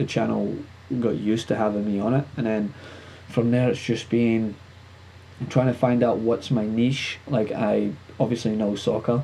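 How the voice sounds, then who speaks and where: A man is speaking. He has a Scottish accent. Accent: Scottish, somewhat toned down. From Scotland. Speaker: sports and entertainment show host. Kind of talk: casual interview chat. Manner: fast, talkative.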